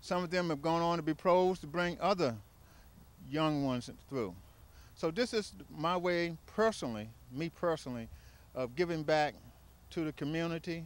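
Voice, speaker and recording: Delivery comes at a moderate pace with ordinary pitch variation, broken by long, frequent pauses. The sound is dry, with no echo. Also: man. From Washington. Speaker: tennis site director. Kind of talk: interview testimony; interview answer. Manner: halting. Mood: warm, proud. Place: open country. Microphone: handheld.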